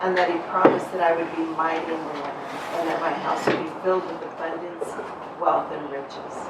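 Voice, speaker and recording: Her fairly low voice stays monotone and flat as this woman talks over noticeable background noise with audible room echo. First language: Spanish. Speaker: networking event participant. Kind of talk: testimony.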